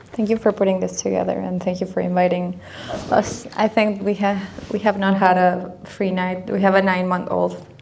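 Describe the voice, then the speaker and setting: There is noticeable background noise as a woman speaks at a moderate pace and a medium pitch. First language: not English. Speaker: arts nonprofit development director. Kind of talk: panel discussion.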